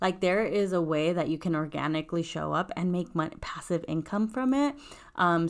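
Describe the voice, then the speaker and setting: Recorded very cleanly against a silent background, a woman speaks at a fairly low pitch with ordinary pitch variation. Hers is a normal speaking voice. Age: 20s. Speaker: podcast host. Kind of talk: casual solo podcast talk.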